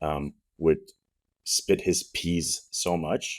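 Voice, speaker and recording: A very clean recording against a silent background, in a slight French accent. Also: man. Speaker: podcast host. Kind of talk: casual chat. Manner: stumbles on words.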